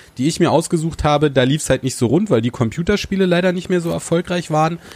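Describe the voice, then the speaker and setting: A man's fairly high voice carries lively intonation at a very fast pace. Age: 30s. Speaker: TV presenter. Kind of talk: casual chat. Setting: inn.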